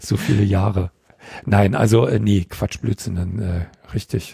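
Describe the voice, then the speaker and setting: With a dark, mellow tone and vocal fry, a man speaks at a fairly slow pace in a fairly low pitch. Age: 50s. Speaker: kendo trainer. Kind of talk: casual interview. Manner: halting, many fillers.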